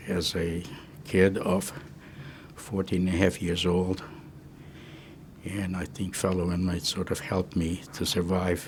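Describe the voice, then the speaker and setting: A man speaks in a very deep, low voice at a fairly slow pace. His intonation stays monotone and flat. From Czechoslovakia (Munkac, Carpathian Ruthenia). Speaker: Holocaust survivor. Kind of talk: testimony. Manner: halting.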